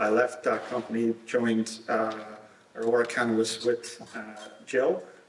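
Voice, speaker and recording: Noticeable background noise sits behind a man speaking at medium pitch. His intonation is monotone and flat, and his loudness stays very even. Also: moderate pace. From Ireland, Dublin. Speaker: cannabis regulatory consultant. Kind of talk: conference panel talk. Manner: halting, many fillers.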